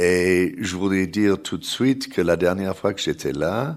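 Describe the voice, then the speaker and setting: A man with an English accent and ordinary pitch variation, on a very clean recording with a silent background. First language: English (speaking French). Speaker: journalist and think-tank researcher. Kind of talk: panel talk. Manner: halting.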